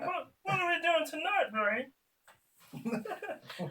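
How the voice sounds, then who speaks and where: Very slowly, a put-on character voice speaks at an extremely high pitch. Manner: dim, cheerful, questioning.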